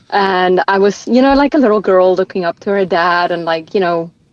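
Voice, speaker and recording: A woman with a South African accent at a fairly quick pace, dry and close with no echo. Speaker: ultramarathon runner. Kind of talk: podcast interview.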